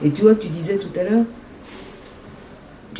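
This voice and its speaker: A woman's voice amid noticeable background noise. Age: 70s. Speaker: singer and artist. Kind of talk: interview.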